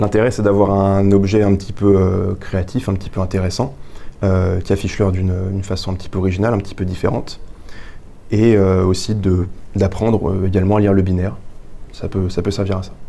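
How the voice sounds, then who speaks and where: Amid noticeable background noise and audible room echo, a man talks at a fairly low pitch with monotone, flat intonation. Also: fairly quick pace. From France, Touraine (Indre-et-Loire). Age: 20s. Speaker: engineering student and young inventor. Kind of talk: interview, explaining an invention. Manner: hesitant, many fillers.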